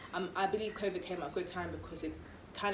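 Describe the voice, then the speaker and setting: Amid noticeable background noise and audible room echo, a woman speaks at a very fast pace with monotone, flat intonation. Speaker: vlogger. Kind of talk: casual chat.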